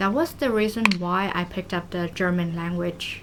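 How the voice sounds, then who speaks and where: Through noticeable background noise, a woman's medium-pitched voice holds fairly even intonation. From Vietnam. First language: Vietnamese. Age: 20s. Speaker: vlogger. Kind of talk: casual vlog talk while cooking.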